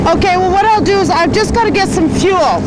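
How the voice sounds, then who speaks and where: The background noise is loud. Over it, a man speaks at a fairly quick pace. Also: dry sound with no echo. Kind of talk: phone call conversation. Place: boat.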